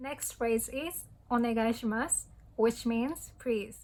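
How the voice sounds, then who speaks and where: With a Japanese accent, a woman speaks at a moderate pace. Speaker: language tutorial youtuber. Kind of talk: tutorial. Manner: hesitant with frequent fillers.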